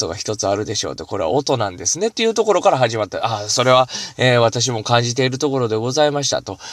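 A man's voice with lively intonation. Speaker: solo podcaster, shrine-visiting specialist. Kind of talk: solo talk show monologue. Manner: fast.

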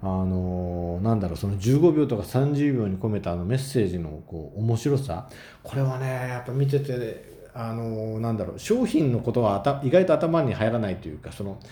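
The speech moves at a moderate pace with lively intonation and hardly any pauses, and audible room echo is present. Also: man, medium pitch for a man. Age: 30s. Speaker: solo podcaster. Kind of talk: casual monologue.

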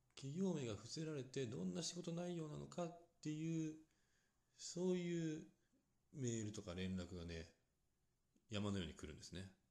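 A man with a medium-pitched, dark and mellow voice talks at a moderate pace in a calm tone, his pitch swinging very widely, with long pauses coming often. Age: 30s. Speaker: solo podcaster. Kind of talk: solo talk monologue.

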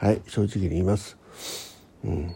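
A man's husky, rough voice with vocal fry, a dark, mellow tone and a fairly quick pace

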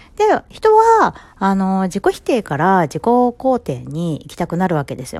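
A woman is speaking. Her pitch is fairly low. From Japan, Ibaraki. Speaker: psychological counselor. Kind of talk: solo podcast talk. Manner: casual, filler-heavy.

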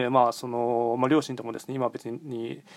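The speech moves at a moderate pace, recorded dry and close with no echo against a silent, very clean background. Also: man. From Japan, Nagoya. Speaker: podcaster and fortune teller. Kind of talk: solo monologue. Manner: hesitant, many fillers.

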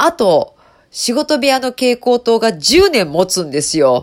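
In a very clean recording with a silent background, the words come at a fairly slow pace. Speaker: HR radio host. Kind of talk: casual solo radio talk. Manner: casual, conversational with fillers.

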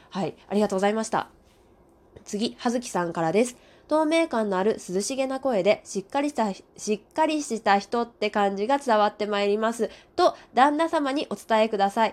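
A plain, everyday voice from a woman, fairly high in pitch, with lively intonation at a moderate pace. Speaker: radio talker. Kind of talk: casual solo monologue reading listener comments. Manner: warm, gentle, polite.

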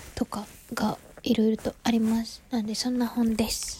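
A woman with a Kansai accent talks at a very slow pace in a relaxed tone, her pitch high. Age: 20s. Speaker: podcaster. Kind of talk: casual monologue. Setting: sitting on bed at home.

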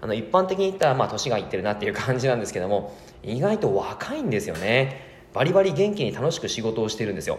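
Against noticeable background noise and audible room echo, a man at a medium pitch talks at a very fast pace with very wide pitch swings. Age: 30s. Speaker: personal trainer. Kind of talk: casual solo podcast talk. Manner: many filler sounds.

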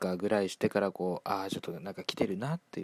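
The sound is dry and close with no echo as a man speaks at a fairly low pitch with ordinary pitch variation. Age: 20s. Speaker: solo podcaster. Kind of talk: casual monologue. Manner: calm.

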